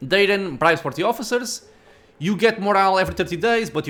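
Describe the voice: The text is read plainly, with pitch shifting by a usual degree.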